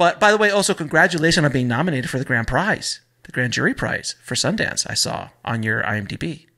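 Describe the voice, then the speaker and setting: A man with an American accent, fairly high pitch, vocal fry, very wide pitch swings, big swings in loudness, a bright, sharp tone and a fairly quick pace. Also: quiet background. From Florida. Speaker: podcast host. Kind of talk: casual interview. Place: studio. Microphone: studio mic.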